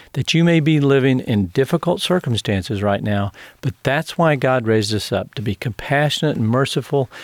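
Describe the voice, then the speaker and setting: On a very clean recording with a silent background, a man with an unremarkable speaking voice and medium pitch talks at a moderate pace with lively intonation. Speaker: radio host and ministry CEO. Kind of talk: radio interview. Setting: studio.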